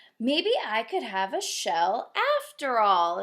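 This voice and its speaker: Using a put-on character voice, a woman speaks at a very slow pace with a fairly high pitch. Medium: read story.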